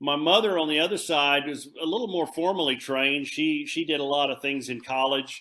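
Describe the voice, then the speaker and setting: A man talks with a Texan accent. His pace is fairly slow, and his pitch varies in an ordinary way. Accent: Texan American. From Texas, Fort Worth. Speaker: country singer-songwriter. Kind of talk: interview. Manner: halting, many fillers.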